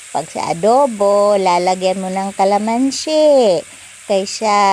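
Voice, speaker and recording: A woman's medium-pitched, lively voice at a very slow pace, over noticeable background noise. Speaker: home cooking vlogger. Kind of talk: cooking tutorial. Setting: home kitchen. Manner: uses a put-on, not her normal voice; casual, chatty.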